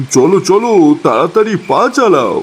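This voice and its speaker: A man's cartoonish character voice, high in pitch. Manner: anxious, repetitive.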